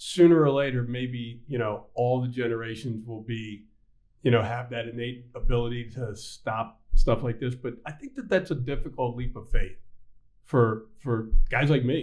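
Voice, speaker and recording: Using an ordinary speaking voice, a man talks at a moderate pace and medium pitch, with fairly even intonation and big swings in loudness. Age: 60s. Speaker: bank CEO and podcast host. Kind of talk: casual interview chat.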